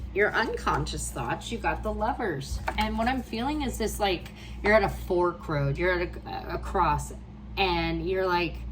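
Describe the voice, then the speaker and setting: Fairly slow speech from a woman, surrounded by audible room echo and noticeable background noise. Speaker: tarot reader. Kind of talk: tarot reading for a client. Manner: warm, encouraging.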